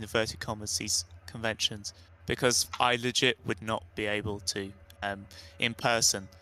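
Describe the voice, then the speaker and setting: A man with a British accent, bright and sharp in tone, at a fairly slow pace with fairly even intonation. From UK. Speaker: writer panelist. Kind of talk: panel discussion.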